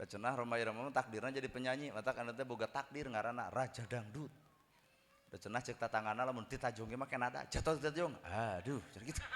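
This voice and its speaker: This man talks at a very fast pace with a medium pitch. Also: ordinary pitch variation. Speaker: Islamic preacher. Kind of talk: humorous sermon.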